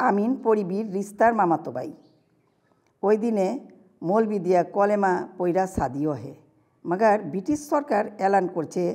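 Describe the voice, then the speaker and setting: Against a quiet background, a woman uses lively intonation in a medium-pitched voice. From Old Dhaka, Bangladesh. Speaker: writer. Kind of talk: reading own story.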